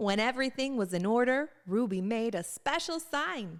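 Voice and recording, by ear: Her pitch sits fairly high with lively intonation. The woman speaks at a moderate pace.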